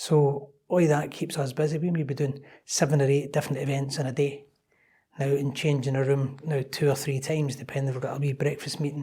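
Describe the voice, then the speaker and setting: In a Scottish accent, a man talks at a fairly quick pace with a fairly high, somewhat breathy voice. His tone is dark and mellow, and his intonation is monotone and flat. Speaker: club operations manager. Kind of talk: interview podcast. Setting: in person at a London members club.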